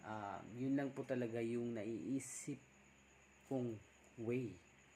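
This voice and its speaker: A soft-spoken man talks in a flat monotone. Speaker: vlogger. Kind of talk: casual vlog talk. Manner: soft-spoken, deliberately quiet.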